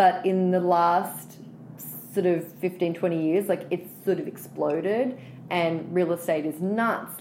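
A woman with an Australian accent speaks very slowly, her fairly low voice held to a fairly even intonation. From Australia, Sydney. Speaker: writer and storyteller. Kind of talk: interview.

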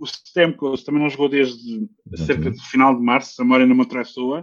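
Here a man talks fairly quickly with a European Portuguese accent. His pitch is fairly high, with ordinary pitch variation. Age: 30s. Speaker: ice hockey commentator. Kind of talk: casual sports chat.

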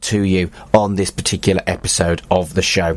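Noticeable background noise surrounds a man as he speaks. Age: 40s. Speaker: podcast host and humanist celebrant. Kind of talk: scripted narration.

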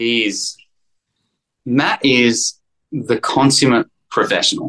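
A man with an Australian accent at a very slow pace, with long, frequent pauses and a dry, close sound with no echo. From Sydney, Australia. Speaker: actor. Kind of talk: casual interview chat.

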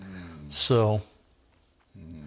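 A man speaks in a somewhat breathy voice. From Southern California, Orange County. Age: 60s. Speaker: men's ministry leader. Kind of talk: casual chat.

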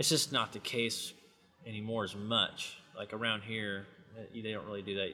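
An American accent marks this man's unremarkable speaking voice, medium in pitch and moderate in pace. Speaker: cowboy and farrier. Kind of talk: interview, casual chat.

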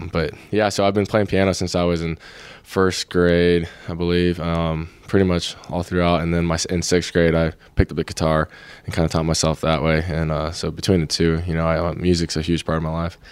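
A man with an American accent speaks at a fairly quick pace. His very deep, low voice stays monotone and flat. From Florida, US. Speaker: football player. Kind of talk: casual interview.

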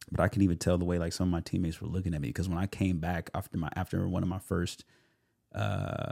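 In an American accent, a man speaks at a very fast pace with a very deep, low pitch, a dark, mellow tone, and vocal fry, in a dry, close sound with no echo. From California. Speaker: actor and self-tape coach. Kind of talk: casual podcast interview. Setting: studio.

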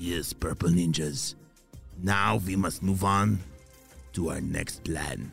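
Slipping into a put-on character voice, a man talks at a slow pace and a low pitch, with vocal fry, a slightly husky edge and fairly even intonation, as faint music plays in the background.

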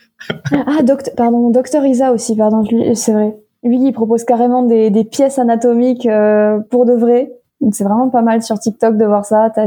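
Monotone, flat intonation at a very even loudness. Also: woman, fairly high pitch for a woman, moderate pace. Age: 20s. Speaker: medical student and content creator. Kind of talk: casual chat.

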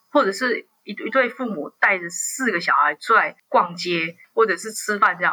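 A woman has an unremarkable speaking voice with medium pitch and lively intonation. She talks at a moderate pace. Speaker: journalist. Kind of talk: interview.

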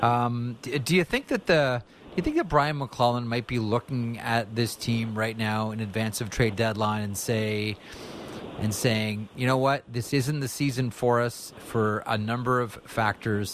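Over noticeable background noise, a man talks fairly slowly at a medium pitch, his intonation fairly even. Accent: Canadian. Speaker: sports radio host. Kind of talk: sports talk radio.

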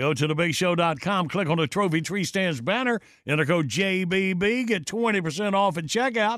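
The speech moves at a fairly slow pace with lively intonation. Loudness stays very even throughout. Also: man, high pitch for a man. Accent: Southern US. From US South. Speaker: radio host. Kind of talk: casual chat. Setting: studio.

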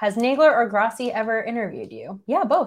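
A woman with a New York accent and a fairly high pitch. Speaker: sports podcast host. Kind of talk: casual chat.

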